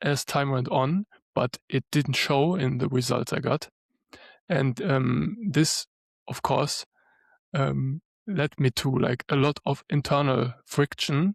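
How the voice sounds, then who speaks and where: At a very slow pace, a man with a German accent speaks somewhat breathily with ordinary pitch variation, in a dry, close, echo-free recording that is very clean with a silent background. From Germany. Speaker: lawyer and spiritual coach. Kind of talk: podcast interview.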